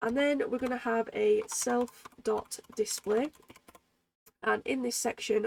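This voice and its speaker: A woman speaks at a very slow pace, the sound dry and close with no echo. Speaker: programming tutor. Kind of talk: tutorial. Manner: casual, hesitant with fillers.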